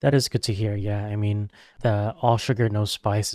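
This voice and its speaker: In an ordinary speaking voice, a man with a fairly low pitch talks at a moderate pace with fairly even intonation, on a very clean, dry, close recording with no echo and a silent background. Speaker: podcast host. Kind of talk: casual interview chat.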